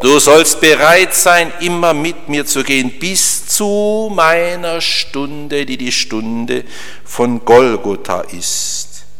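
A man's fairly high voice, very slow in pace, with lively intonation over noticeable background noise. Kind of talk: sermon, earnest homily explaining the Gospel of the wedding at Cana to a congregation. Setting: church. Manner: emphatic and solemn when voicing Christ's words, with rhythmic repetition.

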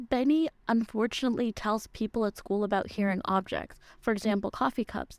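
A woman speaks at a fairly quick pace in a plain, everyday voice with fairly high pitch, recorded very cleanly against a silent background with a dry, close sound and no echo. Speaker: book recommendation segment host. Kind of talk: scripted book recommendation read on radio.

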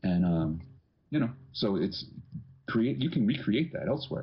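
A man talks at a fairly quick pace with very wide pitch swings. Vocal fry runs through his voice. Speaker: bagpipe podcast co-host. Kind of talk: casual chat. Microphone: too quiet, cheap laptop mic.

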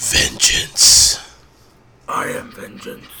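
A raspy, gravelly put-on character voice from a man

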